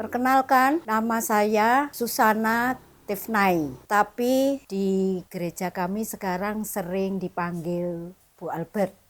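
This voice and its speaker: Hardly pausing at all, a woman talks at a very slow pace. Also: medium pitch for a woman, ordinary pitch variation. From Indonesia, Madura. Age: 70s. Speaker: church member giving testimony. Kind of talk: personal testimony. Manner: casual, chatty.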